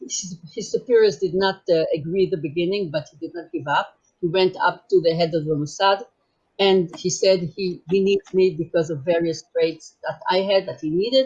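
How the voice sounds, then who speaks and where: A somewhat breathy woman's voice at medium pitch. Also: ordinary pitch variation, moderate pace. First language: German. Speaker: former intelligence agent. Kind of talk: testimony. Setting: virtual conference broadcast. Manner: halting.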